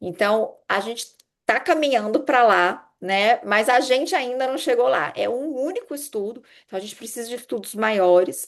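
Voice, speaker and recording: A woman's high voice at a moderate pace, with lively intonation, big swings in loudness and a quiet background. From Brazil, Minas Gerais (Juiz de Fora). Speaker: urologist giving a medical lecture. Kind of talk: lecture.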